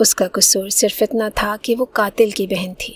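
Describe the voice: The clip is plain reading aloud delivered with fairly even intonation.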